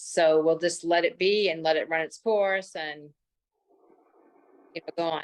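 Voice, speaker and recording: Using a normal speaking voice, a woman with a fairly low pitch speaks at a moderate pace with fairly even intonation. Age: 60s. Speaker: menopause story guest, cancer survivor. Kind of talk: interview testimony.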